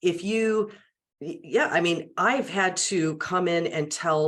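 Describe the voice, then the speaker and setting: A woman speaks very slowly in a fairly low voice, with ordinary pitch variation. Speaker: media and public speaking trainer. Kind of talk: interview conversation. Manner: animated.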